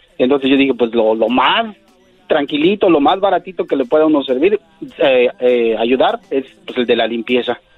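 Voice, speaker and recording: A man's medium-pitched voice with lively intonation amid noticeable background noise. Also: moderate pace. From Mexico City. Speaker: cleaning business owner. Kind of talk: interview. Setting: phone call.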